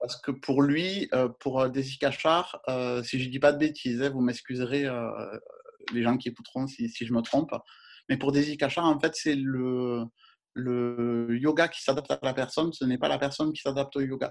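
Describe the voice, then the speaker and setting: The intonation stays fairly even. Speech moves at a moderate pace. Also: man, medium pitch for a man. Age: 40s. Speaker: yoga and astrology page creator. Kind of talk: interview. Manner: halting.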